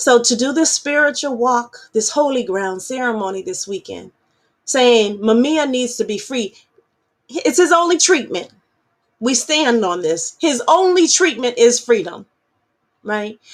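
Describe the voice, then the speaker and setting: In an animated tone, a woman with a high pitch speaks fairly slowly, her pitch swinging very widely. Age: adult. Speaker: activist radio host. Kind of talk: political talk show monologue. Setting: virtual broadcast. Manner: impassioned, animated.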